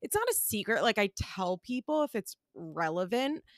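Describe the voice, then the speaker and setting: In a very clean recording with a silent background and a dry, close sound with no echo, a woman with an American accent uses an unremarkable speaking voice, lively intonation and a moderate pace. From US Northeast, Pennsylvania. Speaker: podcaster. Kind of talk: casual chat.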